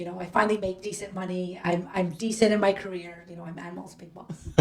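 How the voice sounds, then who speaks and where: Amid noticeable background noise, a woman at medium pitch speaks at a very fast pace in a flat monotone, with big swings in loudness. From Canada, Toronto. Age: 30s. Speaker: podcast guest. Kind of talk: casual chat.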